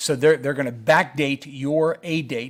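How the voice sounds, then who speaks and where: Very clean, with a silent background, this recording features a man. He talks at a fairly slow pace. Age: 60s. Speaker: Medicare educator. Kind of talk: live Q&A stream. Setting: live stream. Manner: hesitant, many fillers.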